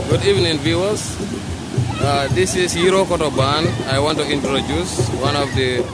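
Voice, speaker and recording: A man at a fairly slow pace with ordinary pitch variation, dry sound without echo, and music playing in the background. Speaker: local guide presenting a band. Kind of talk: casual vlog commentary. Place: beach. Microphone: phone near.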